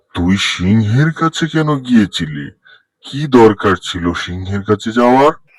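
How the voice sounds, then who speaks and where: A man's cartoonish character voice pitched fairly low. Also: moderate pace. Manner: blustering, aggressive.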